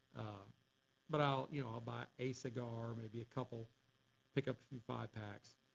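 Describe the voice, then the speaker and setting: In a relaxed, somewhat breathy tone, a man at medium pitch keeps a moderate pace and fairly even intonation, with long, frequent pauses. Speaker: cigar reviewer, livestream host. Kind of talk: casual livestream chat. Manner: relaxed, many fillers.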